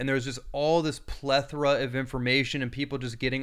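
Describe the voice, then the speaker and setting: Fairly high in pitch, a man talks in an ordinary speaking voice with fairly even intonation. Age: 30s. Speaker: bodywork therapist and author. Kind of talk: interview.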